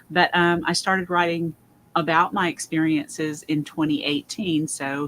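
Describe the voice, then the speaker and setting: Fairly low in pitch, a woman's a normal speaking voice with ordinary pitch variation. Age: 60s. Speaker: paranormal investigator and author. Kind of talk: panel discussion.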